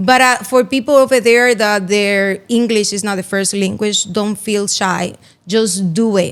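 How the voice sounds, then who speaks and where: A woman with a Spanish accent speaks at a fairly high pitch and moderate pace with fairly even intonation. The recording is very clean and the background silent. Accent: Spanish accent, noticeable. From Dominican Republic, Santiago. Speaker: real estate broker. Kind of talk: interview.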